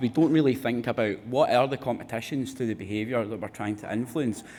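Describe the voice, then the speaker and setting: Speaking at a fairly quick pace, a man with a Glaswegian accent keeps his intonation fairly even at medium pitch. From Scotland, Glasgow. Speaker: research fellow. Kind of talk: conference presentation.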